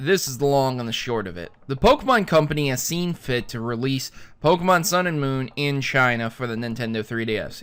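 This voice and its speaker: In an American accent, a man talks at a moderate pace with a fairly high pitch and lively intonation. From US. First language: German. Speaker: gaming news youtuber. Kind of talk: casual news commentary.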